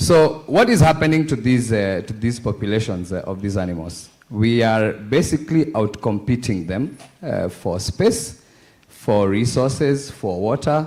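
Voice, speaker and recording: A man's lively intonation at a fairly slow pace. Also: medium pitch for a man. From Kenya. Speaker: conference panelist. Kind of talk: panel discussion.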